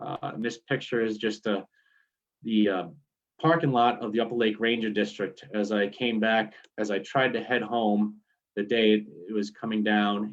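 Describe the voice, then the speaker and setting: Here a man speaks in a New York accent at a fairly low pitch. His pace is moderate and his intonation fairly even. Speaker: forest service staff. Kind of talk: presentation.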